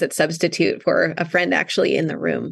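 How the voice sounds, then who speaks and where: A woman talks with an American accent and vocal fry. The background is quiet. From Wisconsin, North Woods. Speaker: author. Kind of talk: interview.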